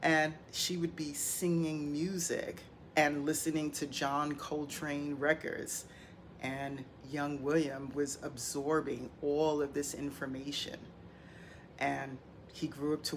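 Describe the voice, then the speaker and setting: In a room with audible echo, a woman with a very deep, low pitch speaks at a very slow pace in a monotone, flat intonation. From New York City, the Bronx. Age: 60s. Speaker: hip hop commentator. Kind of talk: monologue podcast commentary.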